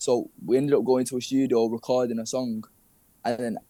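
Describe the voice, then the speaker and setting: A man speaks with a northern English accent in a dark, mellow tone. His intonation is fairly even, and the sound is dry and close with no echo. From Manchester, northern England. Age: 20s. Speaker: rapper. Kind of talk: interview. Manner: casual, slangy.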